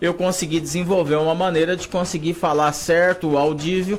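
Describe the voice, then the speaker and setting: A man's fairly high voice, with ordinary pitch variation, at a fairly quick pace over noticeable background noise. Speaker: sports commentator. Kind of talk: interview.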